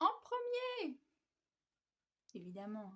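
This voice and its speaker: This is a woman speaking. Her pace is very slow. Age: 20s. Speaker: knitting podcaster. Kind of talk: casual monologue to camera. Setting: at home on the couch. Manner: hesitant, many fillers.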